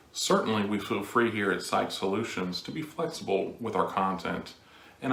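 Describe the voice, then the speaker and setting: Audible room echo surrounds the voice, and noticeable background noise is present. The talking goes at a fairly quick pace. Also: man. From moved a lot, mostly France. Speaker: clinical social worker. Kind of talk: scripted introduction.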